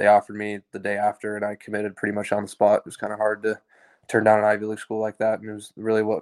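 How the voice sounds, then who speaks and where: In an American accent, a man at a fairly low pitch talks at a very fast pace with monotone, flat intonation. The sound is dry and close, with no echo. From Oklahoma (Tulsa). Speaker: college football kicker. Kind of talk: interview.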